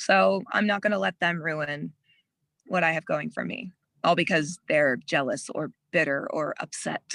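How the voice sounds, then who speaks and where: A woman's fairly low voice with vocal fry, an American accent, lively intonation and a moderate pace. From US Midwest. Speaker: adult film performer. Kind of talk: casual interview.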